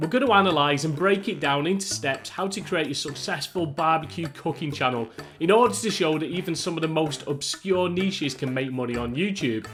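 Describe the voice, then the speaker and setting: A man with a British accent and a fairly high pitch speaks with lively intonation and hardly any pauses. There is noticeable background noise. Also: fairly quick pace. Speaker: YouTube tutorial creator. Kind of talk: tutorial.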